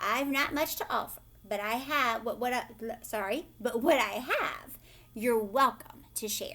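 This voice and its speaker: In a put-on character voice, the speaker goes at a moderate pace with ordinary pitch variation. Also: woman, high pitch for a woman. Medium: read story.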